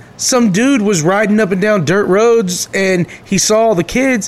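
Clear background noise behind a man pitched high, his pitch varying in an ordinary way. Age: 30s. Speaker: podcast co-host. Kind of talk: casual chat.

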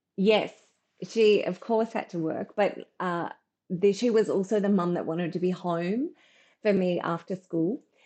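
A woman with an Australian accent speaks in a dark, mellow tone at a fairly slow pace. Her intonation is fairly even, and the background is quiet. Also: medium pitch for a woman. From Brisbane, Australia. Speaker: partnerships consultant. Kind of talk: casual interview.

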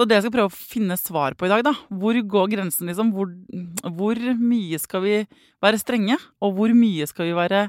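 Captured in a dry, close sound with no echo on a very clean recording with a silent background, a woman talks at a moderate pace and medium pitch with ordinary pitch variation. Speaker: parenting podcast host. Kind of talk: casual interview.

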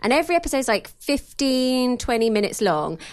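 With very wide pitch swings, a woman talks in a high voice. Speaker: podcast host. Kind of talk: casual chat about TV. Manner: playful, teasing.

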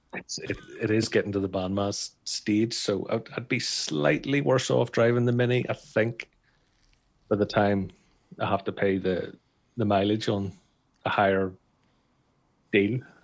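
At a fairly slow pace with long, frequent pauses, a man talks in a fairly low voice with ordinary pitch variation. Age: 40s. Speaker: car podcast co-host. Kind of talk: casual chat. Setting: video call.

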